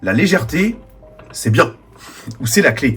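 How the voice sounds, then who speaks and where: A man's voice with very wide pitch swings. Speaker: diecast model reviewer. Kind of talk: video review narration.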